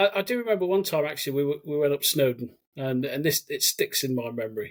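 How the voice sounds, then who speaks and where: A man speaks with a slight Birmingham accent and a fairly high pitch. His pace is fairly quick and his intonation lively. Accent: slight Brummie twang. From English Midlands, Cannock, Staffordshire. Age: 40s. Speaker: army veteran. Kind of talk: podcast interview.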